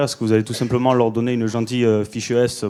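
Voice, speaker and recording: Talking very fast, a man uses a medium pitch and a dark, mellow tone. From southern France, Toulouse. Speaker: audience member, army reservist. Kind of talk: audience question. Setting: conference hall with audience. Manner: hesitant, many fillers.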